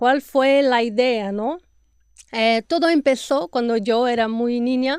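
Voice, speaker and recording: A woman speaks at a fairly slow pace with a fairly high pitch and fairly even intonation. The sound is dry and close with no echo, over a quiet background. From Brazil. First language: Portuguese (speaking Spanish). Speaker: podcast host, health and nutrition professional. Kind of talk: interview podcast.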